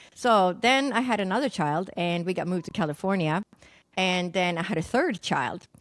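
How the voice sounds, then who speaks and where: A woman with a Swedish accent, medium pitch, lively intonation and a moderate pace on a very clean recording with a silent background. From Sweden. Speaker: naturopathic doctor and psychic medium. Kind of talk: podcast interview, personal story.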